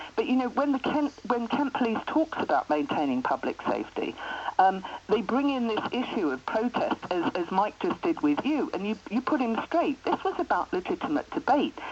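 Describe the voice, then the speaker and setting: Noticeable background noise sits behind a woman with a fairly high pitch who talks at a moderate pace with very wide pitch swings. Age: 60s. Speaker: writer and anti-fracking campaigner. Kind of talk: radio phone-in interview.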